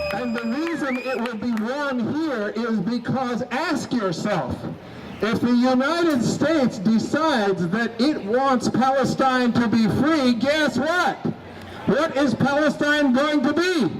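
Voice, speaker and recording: Over noticeable background noise, the speaker goes at a very slow pace with ordinary pitch variation. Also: man, extremely high pitch for a man. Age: 60s. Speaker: activist. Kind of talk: rally speech. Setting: outdoors. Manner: halting; animated.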